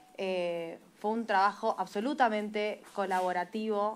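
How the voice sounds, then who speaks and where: A woman speaks fairly slowly in a medium pitch with fairly even intonation. It's an ordinary speaking voice. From Argentina. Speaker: legislator, special commission chair. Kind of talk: committee hearing speech. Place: meeting room. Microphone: podium.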